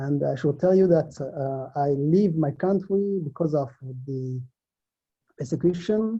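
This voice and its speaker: Somewhat breathy male voice, dark and mellow in tone, fairly high in pitch, with ordinary pitch variation. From Africa. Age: 40s. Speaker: recently released immigration detainee. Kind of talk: testimony. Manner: halting.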